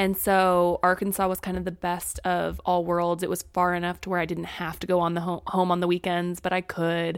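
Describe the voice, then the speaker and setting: Speaking at a moderate pace with hardly any pauses, a woman with an American accent uses a fairly low voice and monotone, flat intonation. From Springfield, Missouri. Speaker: content creator. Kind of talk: casual chat.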